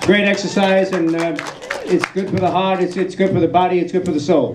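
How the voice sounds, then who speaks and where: With noticeable background noise and audible room echo, a man in a New York accent speaks at a high pitch with ordinary pitch variation. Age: 60s. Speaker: film subject at festival Q&A. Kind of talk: audience Q&A. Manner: halting, many fillers and repeats.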